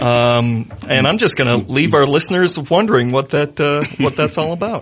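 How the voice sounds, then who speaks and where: Using a plain, everyday voice, this man talks at a moderate speed with fairly high pitch. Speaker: radio podcast host. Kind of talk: casual banter and show hosting. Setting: studio.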